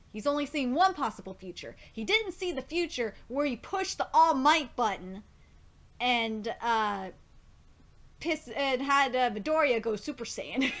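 A woman speaks at a moderate pace in a high pitch. Her voice has very wide pitch swings. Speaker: manga reaction vlogger. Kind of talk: casual reaction commentary, partly reading manga text aloud. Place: home room. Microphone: webcam.

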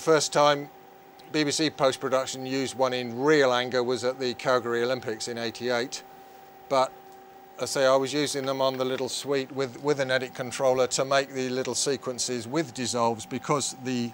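Monotone and flat, a man speaks at a moderate pace in a dry sound with no echo, with light background noise. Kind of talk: interview answer, explaining equipment. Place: studio.

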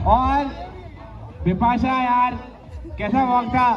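Over light background noise, a man talks at a very slow pace with ordinary pitch variation. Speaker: wedding emcee. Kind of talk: live event hosting, wedding games. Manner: energetic. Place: stage.

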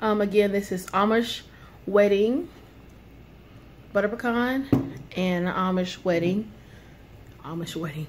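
Somewhat breathy, a woman speaks at a fairly slow pace over light background noise. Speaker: product reviewer. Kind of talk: casual vlog chat. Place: home room. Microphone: phone near.

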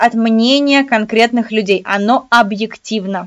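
A woman with a fairly high pitch sounds animated, her pitch varying in an ordinary way against a quiet background. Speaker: exam prep tutor. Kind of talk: online lecture. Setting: live webinar. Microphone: webcam.

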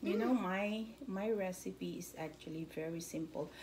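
Speaking at a fairly slow pace with ordinary pitch variation, a woman with a fairly low pitch is heard over noticeable background noise. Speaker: home cook vlogger. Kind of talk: casual cooking tutorial. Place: kitchen. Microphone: phone near.

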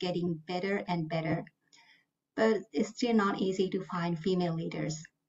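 A woman with a Japanese accent talks at a moderate pace, somewhat breathy, with ordinary pitch variation. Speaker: finance manager; panelist. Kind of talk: panel discussion. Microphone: video call.

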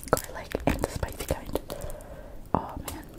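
A woman whispers at a fairly slow pace. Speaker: ASMR eating video host. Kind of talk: casual talk to camera. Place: home room. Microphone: studio mic.

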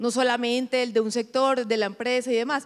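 A woman speaks in a Colombian coastal accent. Her voice is high and her pace moderate. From Colombian Caribbean coast, Montería; Colombian Caribbean coast. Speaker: corporate executive; panelist. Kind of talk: panel interview. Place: stage. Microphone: handheld.

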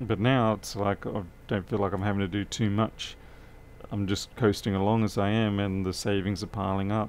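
With an Australian accent, a man speaks at a moderate pace. His voice is fairly low and monotone, with flat intonation. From Australia (Adelaide). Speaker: electronics repair technician. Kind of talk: live-stream repair tutorial with chat. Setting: workshop, live stream. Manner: casual, chatty. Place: workshop.

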